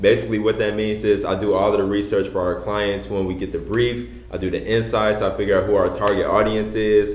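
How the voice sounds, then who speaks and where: Against noticeable background noise, a man talks at a fairly quick pace with a fairly low pitch and fairly even intonation. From Chicago. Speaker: podcast co-host, brand strategist. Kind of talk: casual chat.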